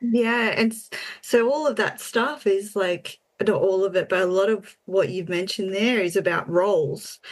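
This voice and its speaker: A woman with an Australian accent, medium in pitch, with ordinary pitch variation. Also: moderate pace. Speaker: podcast co-host. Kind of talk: casual chat.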